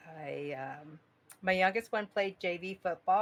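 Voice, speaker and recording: The voice belongs to a woman. Her pitch sits fairly low. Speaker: fantasy football league member, retiree. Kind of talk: casual chat. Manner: nervous, shaky.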